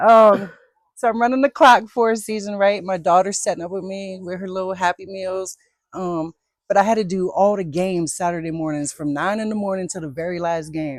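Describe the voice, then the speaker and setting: In an American accent, an unremarkable speaking voice shows ordinary pitch variation and big swings in loudness on a very clean recording with a silent background. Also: woman, medium pitch for a woman, fairly quick pace. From southern Maryland (Calvert County). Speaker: basketball referee. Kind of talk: casual interview chat.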